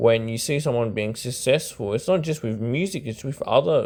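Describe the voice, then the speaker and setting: His pitch variation is ordinary. This man's voice sits at a medium pitch. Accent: Australian. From Australia. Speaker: YouTube commentator on rap. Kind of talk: casual monologue commentary. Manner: hesitant, filler-heavy.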